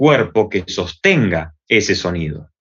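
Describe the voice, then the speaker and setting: A man with an Argentine accent talks very slowly, his pitch swinging very widely. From Argentina, Buenos Aires. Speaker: theatre and body expression teacher. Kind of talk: interview. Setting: video call.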